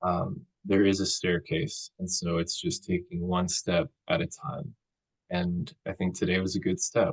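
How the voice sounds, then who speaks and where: A soft-spoken man talks at a fairly slow pace, with a dry, close sound and no echo. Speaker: counseling student. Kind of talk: counseling role play. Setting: video call.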